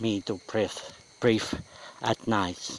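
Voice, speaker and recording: With a non-native accent, a man speaks in a fairly low pitch and fairly even intonation against noticeable background noise. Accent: non-native English speaker. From Finland. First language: Finnish. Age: 50s. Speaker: audio blogger. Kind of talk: personal audio blog monologue. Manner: slow; clear, not linking words.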